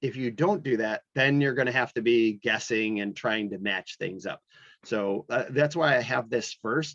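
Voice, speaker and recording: A man with an unremarkable speaking voice, moderate pace and ordinary pitch variation, in a dry, close sound with no echo. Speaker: animation instructor. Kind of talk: lecture. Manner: casual, many fillers.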